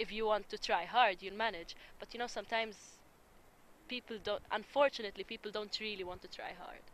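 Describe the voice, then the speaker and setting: This woman has a bright, sharp tone and an Arabic accent. Her fairly high pitch moves at a fairly quick pace with fairly even intonation. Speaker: interviewee on intercultural dialogue. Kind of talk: interview.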